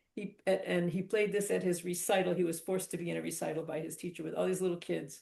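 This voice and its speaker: Her delivery is very fast, with hardly any pauses, and her intonation is monotone and flat. This woman has a fairly low pitch, a dark, mellow tone and vocal fry. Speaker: author. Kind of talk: casual Q&A conversation.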